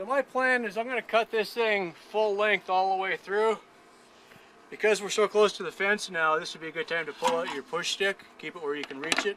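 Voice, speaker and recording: A man's raised, projected voice, high-pitched with ordinary pitch variation, at a fairly quick pace over noticeable background noise. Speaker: YouTuber, military veteran tinkerer. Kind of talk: woodworking tutorial.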